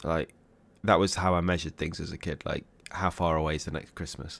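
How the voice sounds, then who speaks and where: A man with an English accent talks at a moderate pace on a very clean recording with a silent background. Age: 30s. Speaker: music reaction youtuber. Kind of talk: casual reaction commentary. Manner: hesitant, many fillers.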